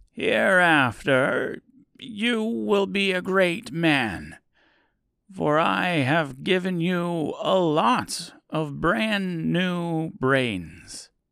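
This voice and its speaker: At a very slow pace, a man uses a put-on character voice pitched high. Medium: audio drama. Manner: smooth, accommodating.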